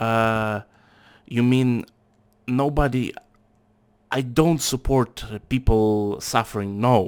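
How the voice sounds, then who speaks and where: In a Russian accent, a man speaks at a very slow pace with long, frequent pauses and fairly even intonation. His pitch is medium, and the recording is very clean with a silent background. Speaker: factory worker, channel owner. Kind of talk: casual political discussion. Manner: halting.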